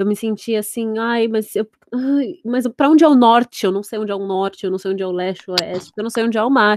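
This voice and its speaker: This woman talks at a very fast pace with a fairly high pitch and ordinary pitch variation. The sound is dry and close, with no echo. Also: very clean recording, silent background. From Santos, São Paulo state, Brazil. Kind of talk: casual chat.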